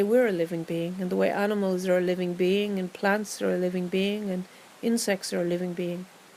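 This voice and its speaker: The speaker has an Irish accent and a calm tone. Intonation stays monotone and flat. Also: woman. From Ireland. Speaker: meditation guide. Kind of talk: guided meditation. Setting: outdoors. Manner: slow, calm.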